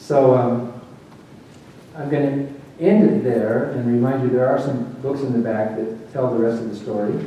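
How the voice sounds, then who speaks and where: With noticeable noise in the background, a man speaks at a moderate tempo. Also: medium pitch for a man, ordinary pitch variation. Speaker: former preacher turned atheist speaker. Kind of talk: public lecture.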